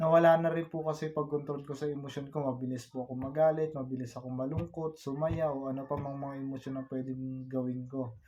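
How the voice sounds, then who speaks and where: Talking at a very fast pace, a man with a fairly high pitch keeps his intonation monotone and flat. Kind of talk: personal life story told to camera, vlog-style confessional about illness. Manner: soft-spoken, halting, earnest and polite with frequent 'po'.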